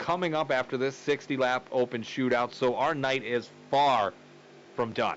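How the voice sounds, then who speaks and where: A medium-pitched man at a moderate pace, with ordinary pitch variation. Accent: Wisconsin. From Wisconsin. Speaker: sim racing commentator. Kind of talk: live commentary. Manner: casual.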